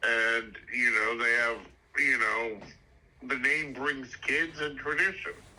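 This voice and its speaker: A man with a New York accent speaks at a very slow pace with ordinary pitch variation. There is noticeable background noise. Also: medium pitch for a man, very even loudness. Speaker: podcast guest, high school friend. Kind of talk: casual interview.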